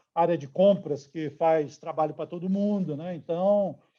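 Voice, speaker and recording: A man speaks at a moderate pace with a high pitch. His intonation is fairly even, and the background is quiet. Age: 60s. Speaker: steel company executive. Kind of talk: interview. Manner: hesitant, many fillers.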